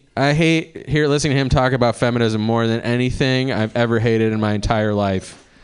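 American-accented male speech with ordinary pitch variation. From Cleveland, Ohio. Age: 40s. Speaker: stand-up comedian. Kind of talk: stand-up. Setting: stage with audience. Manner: animated.

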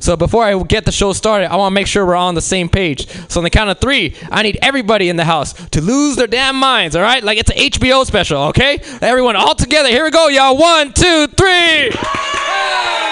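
A man with an American accent speaks in a raised, projected voice at an extremely high pitch, with very wide pitch swings. He barely pauses, and noticeable background noise runs throughout. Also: fairly quick pace. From Los Angeles. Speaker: comedy show host. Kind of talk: stand-up emcee. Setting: stage with audience.

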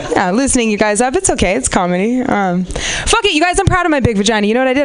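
Very fast and fairly high in pitch, the woman's voice swings very widely. Noticeable background noise sits behind her. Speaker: comedian. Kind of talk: stand-up. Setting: stage with audience. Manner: animated.

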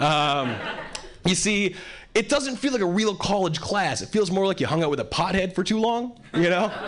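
With noticeable background noise behind him, a man speaks at a fairly quick pace in a high pitch with very wide pitch swings. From Hawaii. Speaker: stand-up comedian. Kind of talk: stand-up comedy. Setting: stage with audience.

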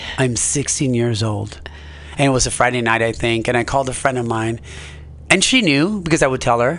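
Over noticeable background noise, a man with an American accent talks at a medium pitch and a fairly quick pace. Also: lively intonation. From Nicaragua, raised later in Los Angeles. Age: 40s. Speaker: amateur stand-up comedian. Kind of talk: casual interview chat. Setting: radio studio.

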